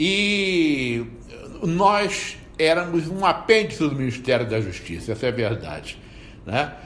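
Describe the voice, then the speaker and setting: Through noticeable background noise and audible room echo, a man speaks at a fairly slow pace with very wide pitch swings. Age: 60s. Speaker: federal prosecutor. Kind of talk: interview, personal recollection. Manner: halting, with repeated filler words.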